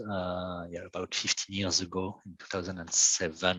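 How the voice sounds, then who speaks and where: A man speaks with a French accent at a moderate pace. His intonation is fairly even. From France. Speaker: software engineer and company founder. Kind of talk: technical presentation. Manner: halting.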